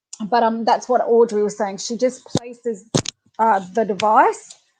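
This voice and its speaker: With an Australian accent, a woman speaks at a moderate pace. Her pitch is fairly high. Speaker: animal communicator and webinar host. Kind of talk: live webinar talk. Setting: live online webinar. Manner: casual, many fillers.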